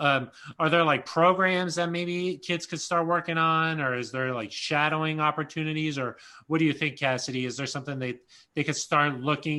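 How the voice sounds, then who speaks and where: Against a quiet background, a man with an American accent uses a fairly high pitch, a bright, sharp tone and fairly even intonation. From Colorado, Aurora. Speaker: team reporter hosting a career panel. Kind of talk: panel conversation. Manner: casual, filler-heavy.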